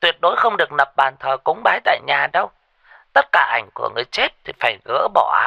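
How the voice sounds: Putting on a character voice, a man speaks fast with a fairly high pitch, big pitch swings and a bright, sharp tone. Vocal fry shows up, and the sound is dry and close with no echo.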